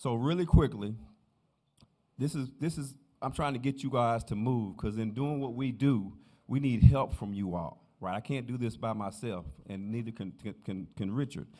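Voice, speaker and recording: Moderately paced, with ordinary pitch variation, this is a normal speaking voice. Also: man, medium pitch for a man. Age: 50s. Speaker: sheriff candidate. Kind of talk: campaign speech in church.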